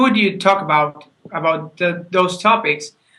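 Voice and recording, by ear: In a room with audible room echo, a man speaks fairly slowly in a fairly high voice with a bright, sharp tone and ordinary pitch variation.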